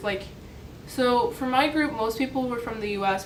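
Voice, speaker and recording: Recorded with noticeable background noise and audible room echo, a woman speaks with an American accent. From US. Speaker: vlogger, college student. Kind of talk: casual vlog talk. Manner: casual, filler-heavy.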